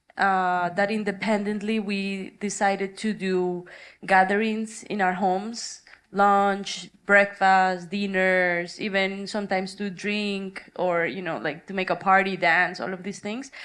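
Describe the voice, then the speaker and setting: A woman talks in a Spanish accent at a medium pitch. Her pace is fairly slow and her intonation monotone and flat. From Colombia. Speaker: artist. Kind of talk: panel discussion.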